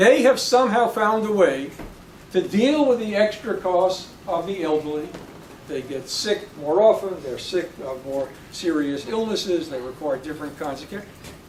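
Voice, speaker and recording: A man speaks at a moderate pace with a high pitch and very wide pitch swings. Noticeable background noise and audible room echo are present. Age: 70s. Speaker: professor. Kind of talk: lecture. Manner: halting.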